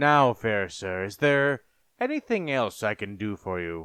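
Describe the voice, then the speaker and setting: Here a man uses a put-on character voice. His pitch is medium. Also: fairly slow pace. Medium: read story. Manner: formal, polite.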